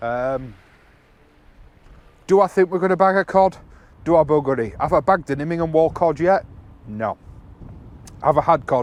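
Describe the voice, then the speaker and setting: A loud man with a fairly high pitch speaks at a moderate pace, with long, frequent pauses. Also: ordinary pitch variation. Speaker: angler vlogger. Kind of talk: casual vlog commentary. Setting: outdoors on a sea wall. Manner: halting, many fillers.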